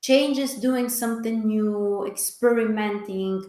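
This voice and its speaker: A woman speaks with ordinary pitch variation, and audible room echo can be heard. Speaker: astrologer. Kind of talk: webinar talk. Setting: online webinar.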